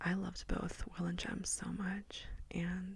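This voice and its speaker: A soft-spoken woman. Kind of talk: ASMR book review wrap-up talking to camera. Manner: soft-spoken, relaxing.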